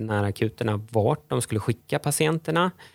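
On a very clean recording with a silent background and a dry, close sound with no echo, a man with a plain, everyday voice speaks at a medium pitch and a moderate pace with ordinary pitch variation. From Stockholm, Sweden. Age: 40s. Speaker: lawyer and economist, entrepreneur. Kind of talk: podcast interview.

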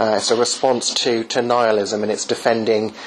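The speaker talks at a moderate pace with an English accent. Noticeable background noise runs underneath. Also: man. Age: 30s. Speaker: apologetics author. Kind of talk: interview. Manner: halting.

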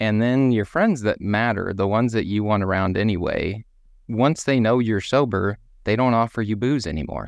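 A man speaks in a Texan accent at a moderate pace, his pitch fairly low. His pitch varies in an ordinary way, and the background is quiet. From US, deep South Texas. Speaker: person in recovery from alcohol. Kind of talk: casual group chat.

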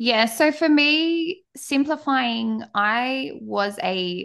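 Over a quiet background, a woman with an Australian accent speaks with very wide pitch swings. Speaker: podcaster and mum. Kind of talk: casual interview chat.

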